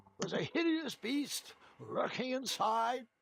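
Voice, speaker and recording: Putting on a character voice, a man speaks fairly slowly at an extremely high pitch with lively intonation. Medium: video game. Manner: rambling, good-humoured.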